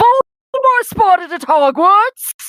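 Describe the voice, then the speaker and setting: Shouting in a squeaky, put-on character voice at an extremely high pitch, the speaker swings very widely in pitch at a fairly slow pace, in a dry, close sound with no echo. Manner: yelling in a silly voice.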